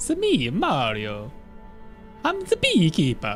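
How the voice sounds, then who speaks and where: Clear music plays behind a put-on character voice in an Italian accent. The pace is fairly slow. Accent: Italian cartoon. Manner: playful, comic.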